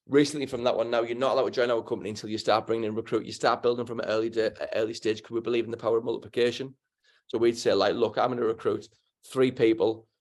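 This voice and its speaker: At a very fast pace, a man in a Teesside accent talks with a medium pitch. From northern England, Middlesbrough. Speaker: financial services entrepreneur. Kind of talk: interview. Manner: animated.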